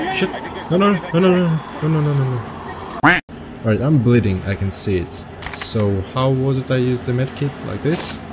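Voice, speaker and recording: A man's lively intonation at a moderate pace, with long, frequent pauses and noticeable background noise. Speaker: gaming video creator. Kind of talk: let's play commentary. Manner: mumbled. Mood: flustered, then muttering. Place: home room.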